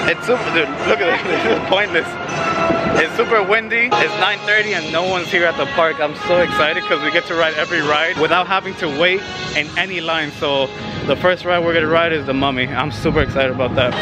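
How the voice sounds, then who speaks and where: Clear music plays behind a man speaking at a fairly quick pace. His pitch varies in an ordinary way, and the sound is dry with no echo. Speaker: vlogger. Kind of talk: casual vlog chat. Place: street. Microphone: phone near.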